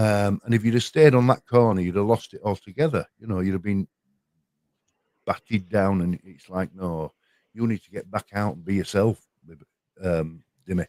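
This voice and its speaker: A man with a Yorkshire accent talks at a moderate pace in a dark, mellow tone and a fairly low pitch, with long, frequent pauses and big swings in loudness, all in a dry, close sound with no echo. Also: ordinary pitch variation. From Yorkshire, northern England. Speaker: panel guest on a livestream chat. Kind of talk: casual chat. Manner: halting, with frequent repetitions.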